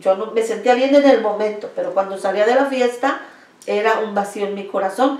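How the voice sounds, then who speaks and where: A woman talks at a moderate pace while noticeable background noise runs beneath her. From Mexico City. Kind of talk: testimony. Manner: halting.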